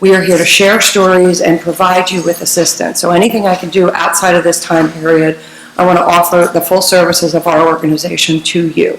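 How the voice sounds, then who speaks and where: A woman's monotone, flat intonation against noticeable background noise. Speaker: environmental nonprofit director speaking at public comment. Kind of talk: public comment at council meeting. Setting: township council meeting.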